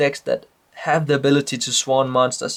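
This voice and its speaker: This man has a Danish accent and a fairly high pitch. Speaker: trading card game player. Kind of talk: casual talk to camera. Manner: hesitant, many fillers.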